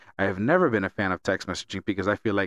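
This man's voice sits at a fairly low pitch. The sound is dry and close, with no echo. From Miami. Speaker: podcast host. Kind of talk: casual chat. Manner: animated.

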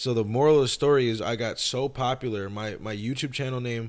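A man with an ordinary speaking voice talks at medium pitch with fairly even intonation. The recording is very clean, with a silent background. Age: 20s. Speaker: music producer and YouTuber. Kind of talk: casual chat.

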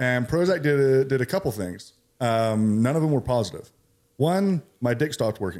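In a General American accent, a man with a plain, everyday voice talks at a moderate pace and medium pitch with lively intonation, on a very clean recording with a silent background. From California. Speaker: military veteran and CBD business owner. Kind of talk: casual interview.

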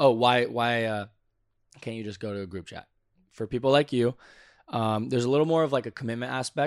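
A man with a Californian accent talks at a fairly quick pace, medium in pitch with ordinary pitch variation. His loudness swings widely, long pauses come often, and the recording is very clean with a silent background. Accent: Californian American. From Southern California (Santa Clarita). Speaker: volleyball player. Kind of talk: casual chat. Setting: indoors at World Championships in Poland.

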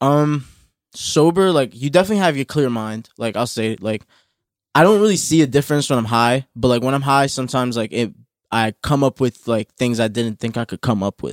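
An ordinary speaking voice from a man of medium pitch with an American accent, lively intonation and a fairly quick pace, in a dry, close sound with no echo. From New Jersey. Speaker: rapper. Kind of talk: casual chat.

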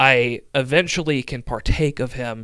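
A man with a normal speaking voice and an American accent, medium pitch, fairly even intonation, on a very clean recording with a silent background. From middle Tennessee, US South. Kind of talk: interview conversation on theology.

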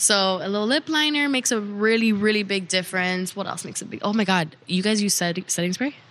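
Speaking at a very fast pace with hardly any pauses, a woman uses a medium pitch and ordinary pitch variation. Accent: Miami. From Miami (born in Cuba). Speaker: makeup artist and cosmetics entrepreneur. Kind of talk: casual interview chat. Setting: hotel.

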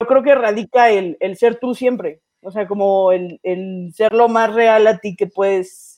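This woman has a dark, mellow tone and a fairly high pitch, with ordinary pitch variation. She talks at a fairly slow pace against a quiet background. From Mexico City. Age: 20s. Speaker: stand-up comedian. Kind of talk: casual chat. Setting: studio.

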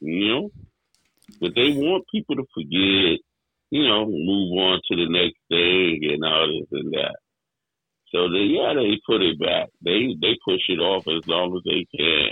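His pace is fairly slow. The speaker is a man with a New York accent. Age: 60s. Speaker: hip hop DJ. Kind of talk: casual chat.

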